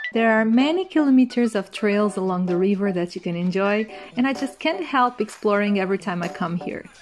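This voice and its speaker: The speech moves at a fairly quick pace with lively intonation, and music plays in the background. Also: woman, medium pitch for a woman. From Coimbra, Portugal. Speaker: tour guide. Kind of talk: travel narration.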